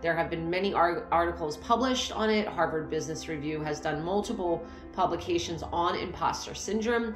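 Over clear music in the background, a woman talks at a fairly quick pace with ordinary pitch variation. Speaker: coach. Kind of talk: motivational talk to camera. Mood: warm, encouraging. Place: home room. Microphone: phone near.

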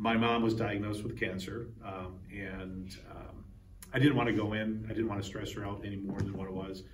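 A man's fairly low voice at a moderate pace, with fairly even intonation, audible room echo and light background noise. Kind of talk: interview answer. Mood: reflective, slightly emotional. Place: hall. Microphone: lapel.

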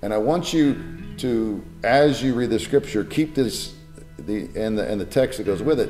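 Faint background music can be heard. Over it, a man talks at a moderate pace. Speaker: pastor. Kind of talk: sermon-style teaching talk. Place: home room.

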